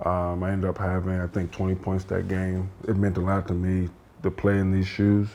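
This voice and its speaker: Quietly, a man with an American accent speaks in a very deep, low voice with a dark, mellow tone. His delivery is monotone and flat at a moderate pace. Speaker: professional basketball player. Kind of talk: casual interview. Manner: quiet, low-key.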